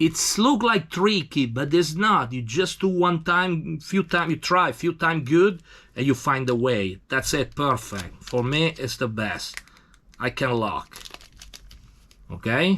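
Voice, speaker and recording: On a very clean recording with a silent background, a man with an Italian accent speaks very slowly in a bright, sharp tone, with fairly high pitch and lively intonation. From Italy. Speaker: tattoo machine maker. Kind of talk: tutorial. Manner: halting.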